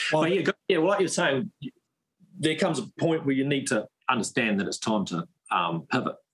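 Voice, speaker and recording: A man with a New Zealand accent talks at a moderate pace in a fairly high pitch, with lively intonation and vocal fry. The sound is dry and close with no echo, and he takes long, frequent pauses. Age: 30s. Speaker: firearms company founder. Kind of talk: casual interview.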